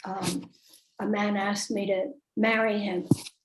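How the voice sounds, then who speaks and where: A woman talks at a fairly slow pace. Her voice is somewhat breathy and medium in pitch. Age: 80s+. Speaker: author and medium. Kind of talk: interview.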